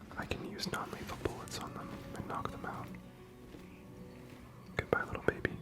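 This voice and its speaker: A man's fairly quick whispering, with long, frequent pauses, big swings in loudness, and music in the background. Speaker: ASMR gaming streamer. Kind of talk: relaxing ASMR let's play commentary. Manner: whispered, soft-spoken.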